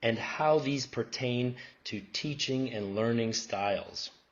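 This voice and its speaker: Room echo is audible as a man speaks at medium pitch with ordinary pitch variation. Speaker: professor presenting research. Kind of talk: conference presentation. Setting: academic conference.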